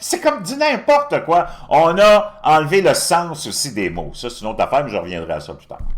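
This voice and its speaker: Over noticeable background noise, a man with a Quebec accent speaks at a moderate pace in an animated tone, with big swings in loudness. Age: 60s. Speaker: political commentator. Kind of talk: opinion monologue.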